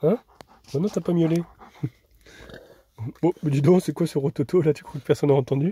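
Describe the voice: A man with a fairly high pitch talks at a fairly quick pace with fairly even intonation. His tone is dark and mellow, with a husky, rough edge.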